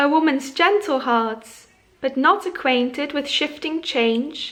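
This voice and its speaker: Using a high pitch and a bright, sharp tone, a woman speaks at a very slow pace with lively intonation. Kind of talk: poetry reading.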